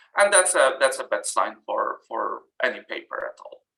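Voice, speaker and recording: A fairly slow pace, with music in the background. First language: not English. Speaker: journal editor and reviewer giving a workshop talk. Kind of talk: webinar presentation. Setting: online webinar. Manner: halting, many fillers.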